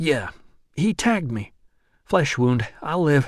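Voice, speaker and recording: Putting on a character voice, a man talks fairly slowly at a fairly high pitch with very wide pitch swings. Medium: read story. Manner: blunt, profane.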